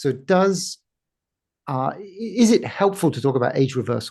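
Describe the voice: Speaking at a moderate pace, a man with a fairly high pitch has lively intonation, a slightly mellow tone, a slightly husky edge, and vocal fry.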